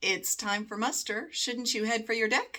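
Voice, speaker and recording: A woman puts on a squeaky character voice with fairly high pitch. She keeps a moderate pace and fairly even intonation. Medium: read story. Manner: slow, measured.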